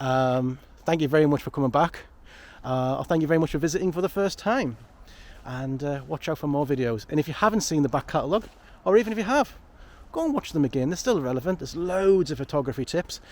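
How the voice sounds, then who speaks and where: Talking very fast with lively intonation, a man with a Geordie accent has a fairly high pitch. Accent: northeast English (Geordie). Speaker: photography vlogger. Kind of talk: casual vlog monologue. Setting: outdoors in woodland. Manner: rambling, chatty.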